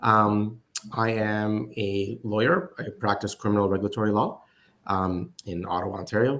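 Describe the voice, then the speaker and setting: In an Arabic accent, a man speaks in a fairly low voice with fairly even intonation. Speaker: lawyer and investor. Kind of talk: panel discussion. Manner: hesitant, many fillers.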